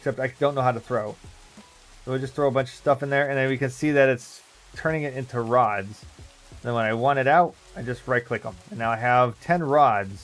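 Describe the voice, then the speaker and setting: A man speaks fairly quickly while music plays in the background. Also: medium pitch for a man, ordinary pitch variation. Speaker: Minecraft streamer. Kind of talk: casual gameplay live stream.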